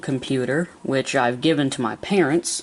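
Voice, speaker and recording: The speech moves at a fairly slow pace. There is noticeable background noise behind it. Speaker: YouTuber showing his PC build. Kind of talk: casual tech video walkthrough. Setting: at home. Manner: casual with many fillers.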